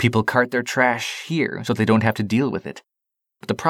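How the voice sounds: This is a natural reading voice heard over a quiet background.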